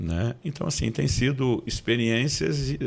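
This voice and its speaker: A man with a plain, everyday voice speaks at a fairly slow pace. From Brazil, Campinas (São Paulo). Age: 50s. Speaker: pastor and author. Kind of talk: interview podcast, testimony.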